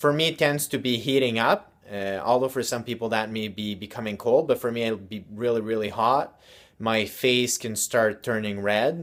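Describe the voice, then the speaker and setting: At a moderate pace with hardly any pauses, a man talks in an ordinary speaking voice at medium pitch. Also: ordinary pitch variation. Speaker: self-help video host. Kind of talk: motivational talk to camera.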